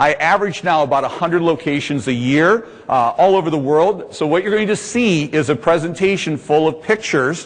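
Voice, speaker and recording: Speech comes at a fairly quick pace with an American accent. Pitch variation is ordinary. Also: man. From US Midwest, Indianapolis. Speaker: laser tag business executive, seminar presenter. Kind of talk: trade seminar presentation. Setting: conference room with audience. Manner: loud; animated.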